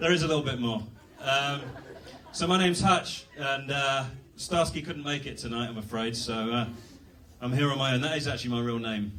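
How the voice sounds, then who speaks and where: A man with a British accent at a fairly quick pace, with long, frequent pauses and ordinary pitch variation, amid audible room echo and noticeable background noise. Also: medium pitch for a man. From England. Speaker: comedian. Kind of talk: stand-up. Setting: stage with audience. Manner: halting.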